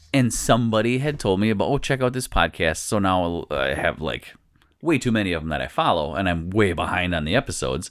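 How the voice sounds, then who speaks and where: This man's voice is very deep and low, with vocal fry. He talks fairly quickly, and his pitch swings very widely. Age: 40s. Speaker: podcast host. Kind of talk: casual chat. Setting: studio.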